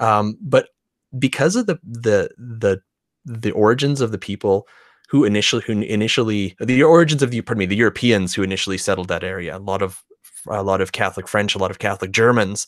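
Man with a Canadian accent and fairly low pitch, at a very fast pace with ordinary pitch variation, in a dry, close sound with no echo and a very clean recording with a silent background. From Morinville, Alberta, Canada. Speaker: podcast host. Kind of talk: casual interview chat.

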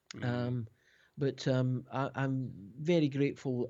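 In a Scottish accent, a man talks at a medium pitch with fairly even intonation. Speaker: keyboard player and producer. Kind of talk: interview. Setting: remote call. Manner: halting.

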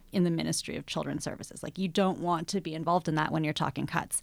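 With a Canadian accent, a woman speaks in an ordinary speaking voice at a fairly low pitch. Her pitch variation is ordinary, and the recording is very clean with a silent background. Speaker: political activist. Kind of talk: casual panel discussion.

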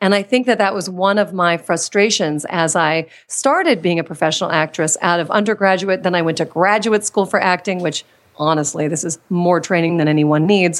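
A woman with a fairly low pitch and ordinary pitch variation speaks at a fairly quick pace in a normal speaking voice, on a very clean recording with a silent background. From Washington, D.C. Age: 40s. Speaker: confidence coach and former actress. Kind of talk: interview.

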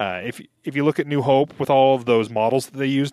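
Speaking at a fairly quick pace, a man uses a plain, everyday voice with medium pitch and fairly even intonation. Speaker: podcast host. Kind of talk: casual chat.

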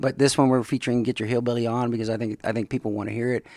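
A man talks in a monotone, flat intonation, and the sound is dry and close with no echo. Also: very clean recording, silent background. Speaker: podcast host. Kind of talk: casual interview chat.

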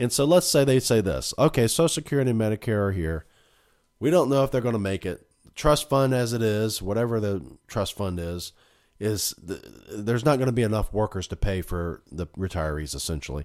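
On a very clean recording with a silent background, the voice moves at a fairly quick pace with very wide pitch swings. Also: man, fairly low pitch for a man. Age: 40s. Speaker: podcast host and family doctor. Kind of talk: solo political commentary monologue. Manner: casual, with frequent fillers.

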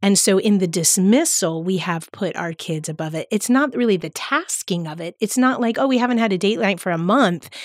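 A woman speaks in an American accent with a normal speaking voice at medium pitch. Her intonation is lively, her pace fairly quick, and she hardly pauses. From US, South Florida (Palm Beach County). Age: 50s. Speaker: teacher. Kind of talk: casual chat.

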